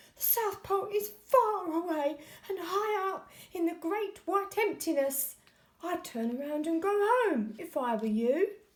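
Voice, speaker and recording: Using a put-on character voice, a woman speaks at an extremely high pitch and a fairly slow pace, her pitch swinging very widely. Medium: read story. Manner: fretful.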